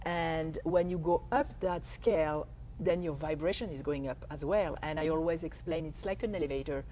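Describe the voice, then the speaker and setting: With a French accent, a woman speaks at a moderate pace in a very deep, low pitch, her dark, mellow tone carrying vocal fry and ordinary pitch variation. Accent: French accent, can't lose it. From France. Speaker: life coach. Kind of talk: interview, explaining.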